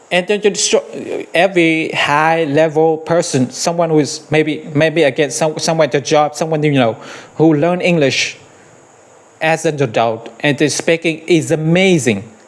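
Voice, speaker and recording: A man speaks at a moderate pace with a fairly high pitch and ordinary pitch variation over noticeable background noise. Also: very even loudness. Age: 50s. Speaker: English teacher. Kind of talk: tutorial. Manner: hesitant, repeats words.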